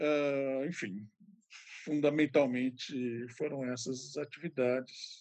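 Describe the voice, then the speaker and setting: Very slow in pace, a man speaks at medium pitch with fairly even intonation. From São Paulo interior, Ribeirão Preto. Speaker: retired art history professor and curator. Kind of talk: interview.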